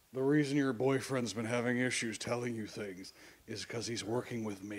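Using a raspy put-on character voice, a man speaks at a medium pitch and a fairly quick pace with fairly even intonation. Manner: distorted.

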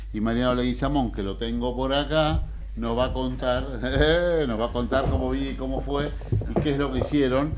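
A man talks at a moderate pace with noticeable background noise present. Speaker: radio show host. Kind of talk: radio host presentation. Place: studio. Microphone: studio mic.

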